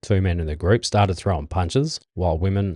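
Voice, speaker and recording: In a quiet background, a man with an Australian accent speaks at a moderate pace with a very deep, low pitch, ordinary pitch variation and a dark, mellow tone, the sound dry and close with no echo. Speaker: podcast host. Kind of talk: reading news stories aloud with casual asides. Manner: halting, stumbling over words.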